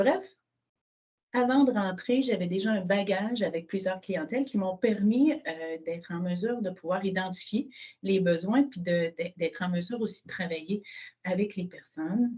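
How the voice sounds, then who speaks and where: A woman's medium-pitched voice, somewhat breathy, dark and mellow in tone, at a moderate pace with ordinary pitch variation. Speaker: social housing director. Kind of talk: webinar presentation.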